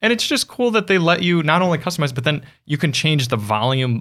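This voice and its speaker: A bright, sharp tone marks this man's voice. He speaks very fast. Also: very clean recording, silent background. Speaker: car podcast host. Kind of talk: casual chat. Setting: studio.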